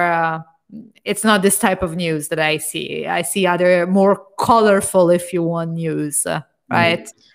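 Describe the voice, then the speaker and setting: With an Italian accent, a woman speaks at a moderate pace. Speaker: podcast host, product manager. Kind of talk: interview. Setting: video call.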